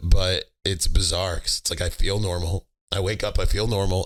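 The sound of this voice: In a very clean recording with a silent background, a man uses a raspy, put-on character voice, fairly low in pitch and fairly quick in pace.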